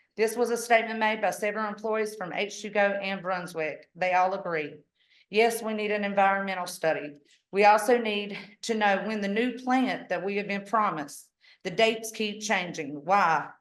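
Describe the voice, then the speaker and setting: Audible room echo surrounds the voice. A woman talks with ordinary pitch variation. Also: medium pitch for a woman. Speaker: public commenter at county meeting. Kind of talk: public comment. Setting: public meeting. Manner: fast.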